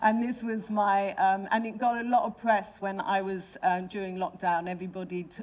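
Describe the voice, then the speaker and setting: In a London accent, a woman talks at a moderate pace with fairly even intonation. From London, England. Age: 60s. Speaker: artist and designer. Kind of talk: panel talk with slides. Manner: halting, many fillers and restarts.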